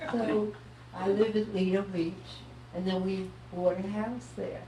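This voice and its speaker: Amid audible room echo and noticeable background noise, a woman speaks at a fairly slow pace and medium pitch in a monotone, flat intonation. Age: 90s. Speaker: local merchant and community member. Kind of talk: panel talk to audience.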